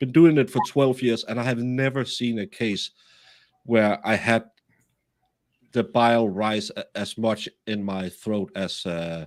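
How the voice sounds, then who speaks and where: On a very clean recording with a silent background, a man with a slight Danish accent speaks at a fairly slow pace. His medium pitch varies in an ordinary way, and long, frequent pauses break up his speech. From Denmark. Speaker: true crime streamer. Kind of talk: casual live stream chat. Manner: halting with many fillers.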